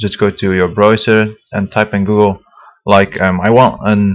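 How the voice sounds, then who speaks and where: His speech crawls along very slowly. This man's voice sits fairly low. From Belgium. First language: Dutch. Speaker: software tutorial maker. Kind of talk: tutorial. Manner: hesitant, many fillers.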